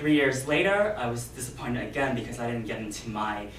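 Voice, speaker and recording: The speech moves at a fairly quick pace. Noticeable background noise and audible room echo come through. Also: man. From USA. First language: non-English (family language). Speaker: Toastmasters club speaker. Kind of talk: prepared speech.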